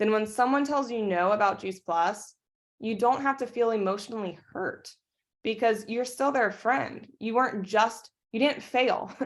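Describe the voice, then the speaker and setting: Animated in tone, a woman speaks at a moderate pace. Her fairly high pitch shows ordinary variation. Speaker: network marketing team leader. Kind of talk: team training talk on video call.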